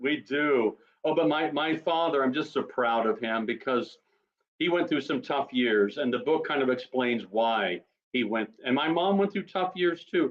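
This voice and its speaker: A man with an unremarkable speaking voice talks at a moderate pace and fairly high pitch. His intonation is lively and his loudness very even. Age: 60s. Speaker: author. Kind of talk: casual chat.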